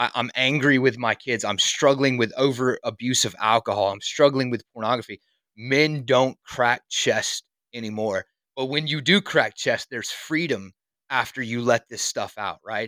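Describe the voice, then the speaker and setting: A man with a South Carolina accent speaks in a bright, sharp tone at medium pitch and moderate pace, with ordinary pitch variation, on a very clean, silent-background recording that sounds dry and close with no echo. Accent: Southern US (South Carolina). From US South, South Carolina. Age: 30s. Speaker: construction worker and fitness dad. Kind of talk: casual chat. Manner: animated.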